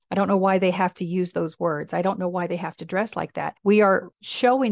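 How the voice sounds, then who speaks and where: Using an unremarkable speaking voice, a woman talks at a moderate pace in a medium pitch. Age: 60s. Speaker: minister and podcast host. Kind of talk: reflective personal storytelling, spiritual talk. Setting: solo podcast recording. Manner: warm, reflective.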